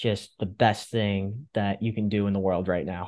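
Against a quiet background, a man with an American accent speaks in a plain, everyday voice, using a fairly low pitch, fairly even intonation and a moderate pace. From Fairfield County, Connecticut. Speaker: podcast host. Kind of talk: interview.

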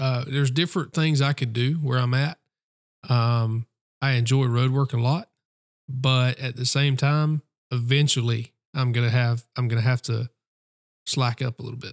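A man in a Southern US accent, medium in pitch and fairly even in intonation, at a moderate pace with long, frequent pauses, in a dry, close sound with no echo. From South Carolina. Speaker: police officer. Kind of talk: casual chat. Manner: halting.

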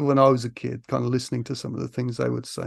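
A man with an East Midlands accent, dry, close sound with no echo, and a quiet background. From Grantham, Lincolnshire, England. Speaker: film author. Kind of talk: casual chat. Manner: hesitant, many fillers.

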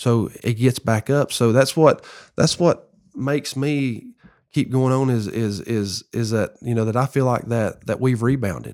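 In a Southern US accent, a man talks at a fairly slow pace with a medium pitch and ordinary pitch variation. The recording is very clean, with a silent background. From US South, Tennessee. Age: 40s. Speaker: former pro baseball player. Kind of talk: testimony.

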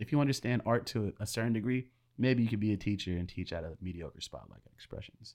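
Delivered at a very fast pace, the voice shows ordinary pitch variation. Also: man, fairly low pitch for a man. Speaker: video and music creator. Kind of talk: casual chat. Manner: talkative.

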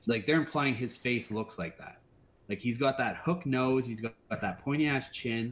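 In an unremarkable speaking voice, a man keeps a moderate pace at medium pitch. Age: 30s. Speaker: horror podcast host. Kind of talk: casual chat.

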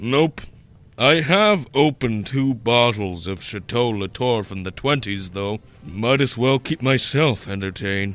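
Music plays in the background as a man speaks at a fairly slow pace. His pitch is medium, with lively intonation. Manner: crude, joking, flippant.

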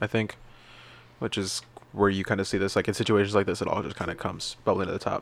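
Fairly low in pitch, a man speaks at a very fast pace in a monotone, flat intonation. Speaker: co-host, film podcaster. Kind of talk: casual chat, podcast banter.

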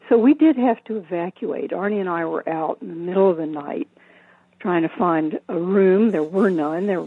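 A woman with an American accent and an unremarkable speaking voice, at a medium pitch and moderate pace, with lively intonation. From US South. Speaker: Zen teacher and hospice chaplain. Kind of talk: interview. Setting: phone call.

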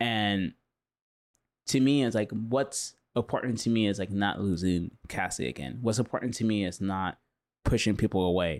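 In a very clean recording with a silent background, a man with an American accent talks at a moderate pace in a fairly low pitch with ordinary pitch variation. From Southern California, Huntington Beach. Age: 40s. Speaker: artist. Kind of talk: casual interview chat.

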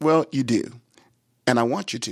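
A man speaks with ordinary pitch variation on a very clean recording with a silent background and a dry, close sound with no echo. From Texas, Brownwood. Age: 60s. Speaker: bishop. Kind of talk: interview.

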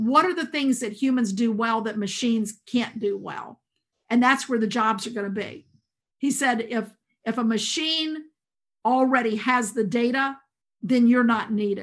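A woman with a Southern US accent talks at a moderate pace and a fairly high pitch, using ordinary pitch variation. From US South, rural South Carolina. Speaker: school administrator and education leader. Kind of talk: interview.

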